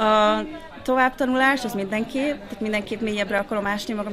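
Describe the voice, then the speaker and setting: Noticeable background noise runs under a woman's medium-pitched voice. She talks at a fairly quick pace with fairly even intonation. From Hungary. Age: 30s. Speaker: pastoral graduate and church worker; pastoral graduate. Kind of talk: interview. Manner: hesitant, many fillers. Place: cafe.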